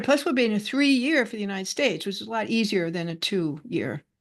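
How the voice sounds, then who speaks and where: A woman talks very fast with an American accent and lively intonation. Her medium-pitched voice sits over a quiet background. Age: 80s+. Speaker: numerology speaker. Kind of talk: casual group discussion.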